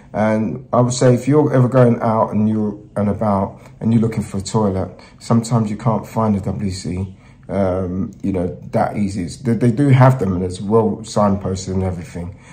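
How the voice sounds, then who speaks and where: This man speaks fairly quickly in a somewhat breathy voice with a fairly low pitch and a dark, mellow tone. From Nigeria. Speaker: travel presenter. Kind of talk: travel vlog talk to camera.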